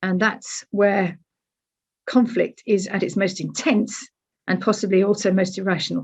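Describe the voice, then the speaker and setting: A woman with a British accent speaks in a somewhat breathy voice at a moderate pace over a quiet background. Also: medium pitch for a woman, fairly even intonation. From Britain. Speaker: academic speaker. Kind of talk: lecture. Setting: webinar. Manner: conversational, frequent fillers.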